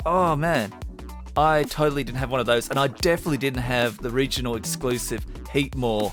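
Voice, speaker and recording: A man's medium-pitched voice with an Australian accent, ordinary pitch variation and an upbeat tone at a fairly quick pace, with music in the background. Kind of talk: casual gameplay commentary.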